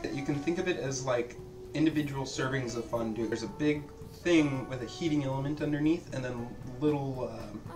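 Over clear background music, a man talks at a fairly quick pace with fairly even intonation. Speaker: home cook host. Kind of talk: casual cooking chat explanation. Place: kitchen.

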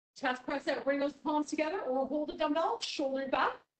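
Her voice carries through a room. There is audible echo around this woman's words. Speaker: fitness instructor. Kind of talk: guided fitness class with cued exercise instructions. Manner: brisk rhythmic cueing, encouraging and upbeat, counting down reps. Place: gym.

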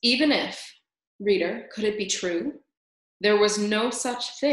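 This is plain reading aloud with ordinary pitch variation. The background is quiet.

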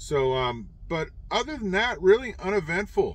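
The sound is dry, with no echo. A man talks at a fairly slow pace. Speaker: truck driver vlogger. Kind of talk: casual vlog chat. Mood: exasperated about bad road. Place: car. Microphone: phone near.

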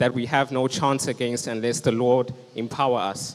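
A man's medium-pitched voice with little pitch movement

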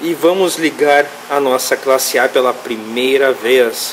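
A man speaks with lively, bouncing intonation. Noticeable background noise sits under his voice. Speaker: mechanic and YouTube channel host. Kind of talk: workshop tutorial video. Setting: mechanic workshop. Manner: animated.

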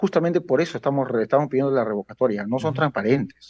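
The background stays quiet. A man's voice carries a dark, mellow tone. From Peru (Lima, Villa El Salvador); Peru. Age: 40s. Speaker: local political activist; guest. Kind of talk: interview. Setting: video call. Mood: critical, earnest. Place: home room. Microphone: video call.

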